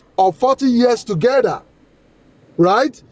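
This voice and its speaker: This man speaks with a Nigerian accent at an extremely high pitch. His intonation is lively. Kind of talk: heated debate. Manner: interrupting, insistent.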